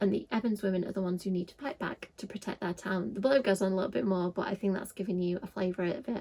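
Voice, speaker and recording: A woman with a Yorkshire accent at a very fast pace, medium in pitch, somewhat breathy, with a dark, mellow tone. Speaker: book youtuber. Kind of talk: casual vlog talk.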